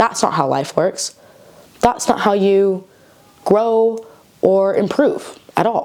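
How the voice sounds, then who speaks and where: Noticeable background noise behind a woman in an American accent. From United States, Mexican-American. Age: 20s. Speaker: actress and writer. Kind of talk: casual talk to camera. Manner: chatty, informal.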